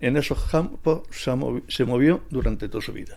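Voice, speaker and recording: At a fairly slow pace, a man of medium pitch speaks with lively intonation and vocal fry. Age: 70s. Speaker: retired mechanic, workshop owner. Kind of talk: interview. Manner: halting, with many fillers.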